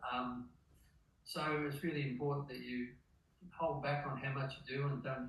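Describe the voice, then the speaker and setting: A somewhat breathy voice with an Australian accent at a moderate pace, with audible room echo. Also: man. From Australia, rural Victoria. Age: 70s. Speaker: masters distance runner. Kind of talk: interview. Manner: halting.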